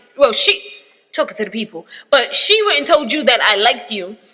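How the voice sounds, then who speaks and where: A woman's high-pitched, raised and projected voice with very wide pitch swings. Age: 20s. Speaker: podcast host. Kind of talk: casual chat. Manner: animated.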